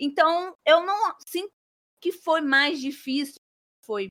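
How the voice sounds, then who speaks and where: A woman speaks in a raised, projected voice with a bright, sharp tone and lively intonation, and the sound is dry and close with no echo. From Brazil, Espírito Santo. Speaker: author and flight attendant. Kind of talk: interview.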